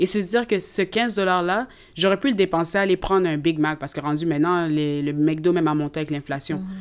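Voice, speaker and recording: This woman talks at a fairly quick pace in a Canadian French accent, with a fairly low pitch and ordinary pitch variation. The recording is very clean, with a silent background. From Canada (Quebec), Congolese parents. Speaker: nursing student. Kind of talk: casual chat.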